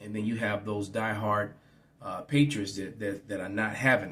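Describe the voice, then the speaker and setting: Fairly even in intonation, a man speaks at a moderate pace with an American accent. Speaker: religious teacher. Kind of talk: bible teaching. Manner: halting, repetitive fillers.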